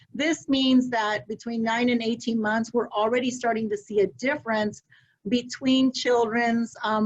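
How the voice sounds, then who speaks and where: At a moderate pace, a woman talks in a fairly high pitch with fairly even intonation. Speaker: early childhood education advocate. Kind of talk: webinar presentation. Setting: video call webinar.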